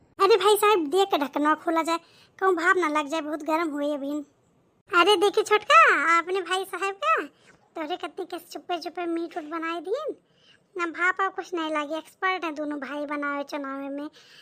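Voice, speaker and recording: A woman puts on a squeaky, cartoonish character voice at an extremely high pitch. She keeps a moderate pace with ordinary pitch variation. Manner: chatty, folksy.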